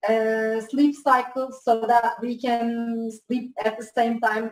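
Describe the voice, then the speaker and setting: A woman speaks with a Turkish accent in a fairly high pitch. Her intonation is monotone and flat. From Turkey. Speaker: student. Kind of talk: class question.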